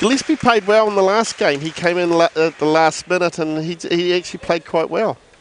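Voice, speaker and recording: Speaking at a fairly quick pace with hardly any pauses, a man with a New Zealand accent uses a high pitch and ordinary pitch variation. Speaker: co-commentator. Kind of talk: live commentary.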